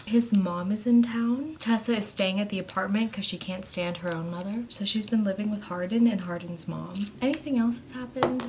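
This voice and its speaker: Soft-spoken and fairly quick, the voice shows big swings in loudness, ordinary pitch variation and hardly any pauses, with noticeable background noise behind it. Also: woman, medium pitch for a woman. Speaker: book vlogger. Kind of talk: casual vlog talk. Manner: animated.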